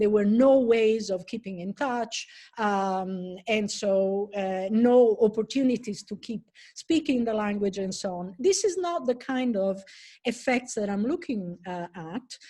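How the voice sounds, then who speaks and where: A woman with an Italian accent speaks at a fairly high pitch in a dark, mellow, somewhat breathy tone, with ordinary pitch variation against a quiet background. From Italy. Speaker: professor. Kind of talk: lecture. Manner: halting.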